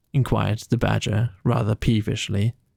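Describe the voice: A man's fairly low voice, slightly mellow with a slightly husky edge and vocal fry, showing little pitch movement. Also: moderate pace.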